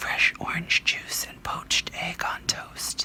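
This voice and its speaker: Someone whispers over noticeable background noise. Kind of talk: ASMR bedtime story reading, whispered. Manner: whispered, soft.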